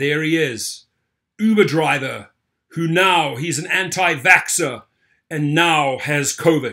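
A man's tone is bright and sharp, set against a quiet background. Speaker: online news commentator. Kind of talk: commentary reading news articles. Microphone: webcam.

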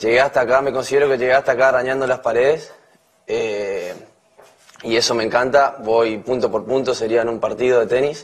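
A man's monotone, flat intonation holds through speech at a moderate pace. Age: 20s. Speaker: reality show contestant. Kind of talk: campaign speech. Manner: halting. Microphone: podium.

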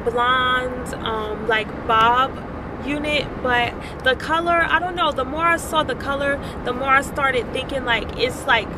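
A woman's raised, projected voice comes at a fairly slow pace with ordinary pitch variation, dry with no echo but with noticeable background noise. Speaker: vlogger. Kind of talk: casual vlog chat. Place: car. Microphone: phone near.

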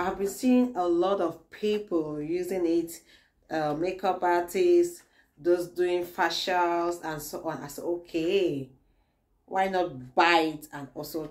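Very slowly, a woman speaks at a fairly low pitch. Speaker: beauty product reviewer. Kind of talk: product review tutorial. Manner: soft-spoken. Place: home room. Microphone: phone near.

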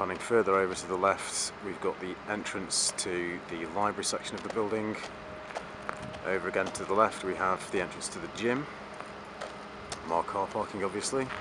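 With long, frequent pauses, a man talks at a moderate pace amid noticeable background noise. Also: dry sound with no echo. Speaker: campus tour narrator. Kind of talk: commentary. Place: street. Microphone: phone near.

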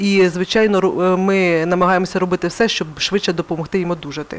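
A woman talks at a fairly quick pace. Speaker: psychologist. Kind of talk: interview. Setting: studio. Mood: calm, earnest. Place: studio. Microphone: headset.

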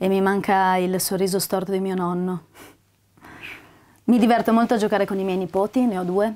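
A woman with a dark, mellow tone and monotone, flat intonation, fairly quick yet with long, frequent pauses, over a quiet background. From northern Italy, Parma; northern Italy. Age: 30s. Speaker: actress. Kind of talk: self-presentation. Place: home room.

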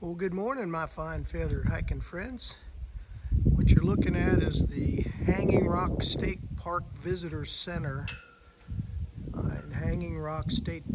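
A man speaking at a fairly slow pace, with long, frequent pauses over loud background noise. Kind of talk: casual vlog chat. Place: street. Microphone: phone near.

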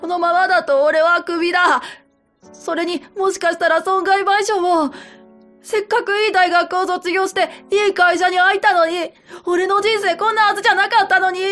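A woman's put-on character voice, shrill and whiny with a whiny tone, at a moderate pace over faint music in the background. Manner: whiny, self-pitying, shrill.

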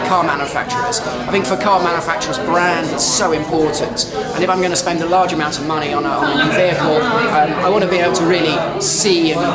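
A man talks at a very fast pace. Crowd noise fills the background. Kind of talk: interview answer. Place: hall.

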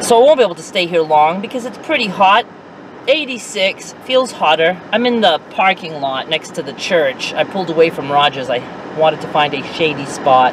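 The speech moves at a moderate pace in a dry sound with no echo, with noticeable background noise. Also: woman, fairly low pitch for a woman. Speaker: vlogger. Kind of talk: casual vlog chat. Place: car. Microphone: phone near.

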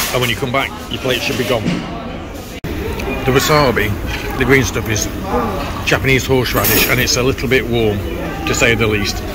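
Loud background noise sits behind a man speaking. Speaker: food vlogger. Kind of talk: casual vlog chat. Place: cafe. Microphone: phone near.

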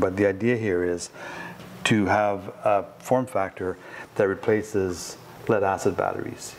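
This man has an ordinary speaking voice with a fairly low pitch and fairly even intonation. Light background noise is present. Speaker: company guide showing the lab. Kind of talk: tour explanation. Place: office.

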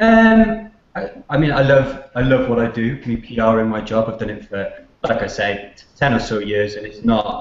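Audible room echo surrounds a voice that shows big swings in loudness. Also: man, moderate pace. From Cardiff, Wales. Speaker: author and PR professional. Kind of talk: interview answer. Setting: video call. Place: office. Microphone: video call.

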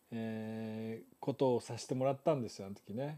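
Over a quiet background, a man talks at a moderate pace in a dark, mellow tone. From Japan. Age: 70s. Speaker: photographer and live stream host; live stream host. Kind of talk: live stream talk to viewers. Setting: live stream. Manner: relaxed, conversational. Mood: relaxed, cheerful, laughing. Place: home room. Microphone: lapel.

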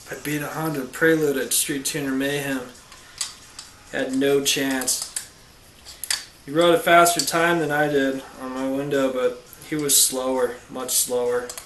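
Over light background noise and audible room echo, a man speaks at a fairly slow pace with fairly even intonation. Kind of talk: tutorial. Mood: casual, boastful aside. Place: garage. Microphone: camera far.

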